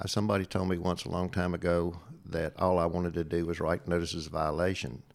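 Speaking at a very fast pace with fairly even intonation, a man with a very deep, low pitch has a slight Appalachian accent. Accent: Southern Appalachian twang, slight. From Southwest Virginia. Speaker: retired state fire marshal. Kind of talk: casual interview conversation. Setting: in-person studio.

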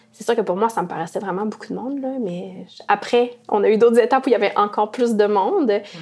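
A woman's fairly high, very fast speech with ordinary pitch variation, over noticeable background noise. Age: 30s. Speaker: former youth marcher. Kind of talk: interview testimony.

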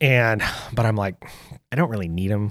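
With an American accent, a man speaks in an unremarkable speaking voice, fairly low in pitch, at a fairly quick pace with lively intonation, on a very clean recording with a silent background. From US West, south central Oregon (Lake County). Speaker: hunter and sports coach. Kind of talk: casual interview storytelling.

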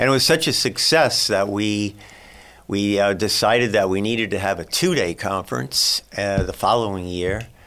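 Using an ordinary speaking voice, a man talks with a fairly low pitch and ordinary pitch variation. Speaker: wildlife biologist. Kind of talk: interview.

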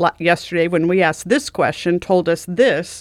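Speaking at a fairly slow pace, a woman has an unremarkable speaking voice, fairly low in pitch, with fairly even intonation. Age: 60s. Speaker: retired mortuary director. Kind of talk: casual chat.

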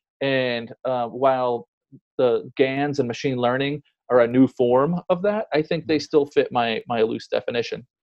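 A man with an ordinary speaking voice and a medium pitch talks at a fairly slow pace. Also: ordinary pitch variation. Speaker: art blogger and founder. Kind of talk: casual interview conversation. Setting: remote call during lockdown.

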